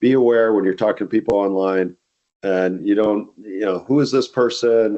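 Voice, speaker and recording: A man's plain, everyday voice at a medium pitch, with fairly even intonation. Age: 60s. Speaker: company CEO. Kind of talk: podcast interview. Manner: conversational with frequent fillers.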